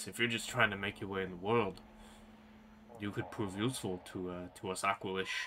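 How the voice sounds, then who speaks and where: A put-on character voice from a man, fairly low-pitched and fairly quick, broken by long, frequent pauses over clear background noise. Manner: snarling, gruff.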